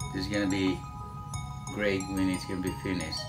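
Clear background music behind a man's voice. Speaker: home renovation vlogger. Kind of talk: casual vlog chat. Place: bathroom. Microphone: phone near.

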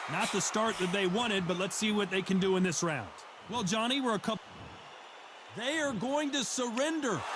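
Amid noticeable background noise, a man with a high pitch speaks fairly quickly in an animated tone, with lively intonation, very even loudness and long, frequent pauses. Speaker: boxing commentator. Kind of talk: live boxing play-by-play commentary, fast and urgent. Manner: animated, excitable, rapid-fire play-by-play.

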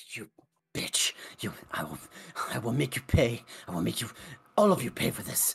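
A raspy put-on character voice moves at a moderate pace. Long pauses come often. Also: man, medium pitch for a man. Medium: actual play. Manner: furious, vengeful.

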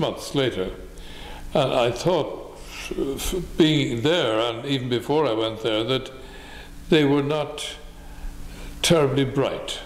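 A man at a very slow pace with ordinary pitch variation and audible room echo. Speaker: interviewee. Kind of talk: interview answer. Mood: reflective, mildly scornful. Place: home room.

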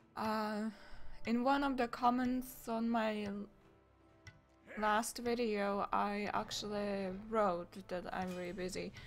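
Over music in the background, the speech goes very slowly with long, frequent pauses and fairly even intonation. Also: woman. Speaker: gaming commentator. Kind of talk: casual gameplay commentary.

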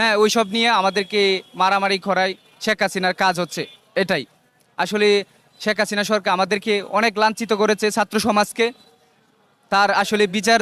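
A man's raised, projected voice, high in pitch and very even in loudness, flat and monotone, with a dry, close sound and no echo. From Bangladesh, Netrokona district. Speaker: student political activist. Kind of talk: statement to news camera.

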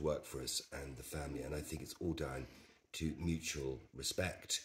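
A man talks at a moderate pace with a very deep, low pitch and vocal fry. His intonation stays fairly even over light background noise. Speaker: interviewee. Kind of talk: interview answer. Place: home room. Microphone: camera far.

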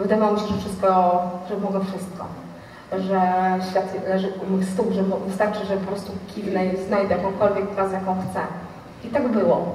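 Speaking at a fairly quick pace, a woman keeps a flat, monotone intonation, with audible room echo and light background noise. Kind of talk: personal storytelling talk to an audience. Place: stage.

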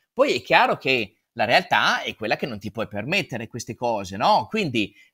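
A man at a fairly slow pace, with very wide pitch swings, over a quiet background. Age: 40s. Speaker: real estate agent; guest. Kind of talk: conference talk.

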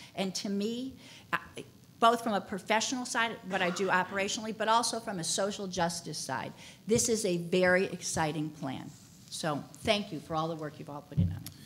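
With light background noise, a woman speaks at a fairly quick pace and with ordinary pitch variation. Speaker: real estate developer; panelist. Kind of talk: panel discussion. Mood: enthusiastic, appreciative. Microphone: podium.

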